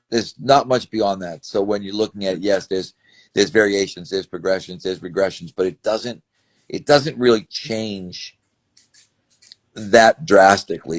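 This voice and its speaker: A dry, close sound with no echo, carrying an unremarkable speaking voice at a moderate pace and with ordinary pitch variation. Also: man. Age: 60s. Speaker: strength and conditioning coach. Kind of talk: interview. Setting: video interview on camera.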